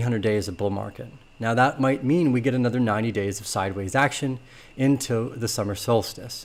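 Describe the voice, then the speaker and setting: Fairly even intonation runs through this man's medium-pitched voice. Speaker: crypto market analyst. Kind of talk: market analysis video. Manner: fast.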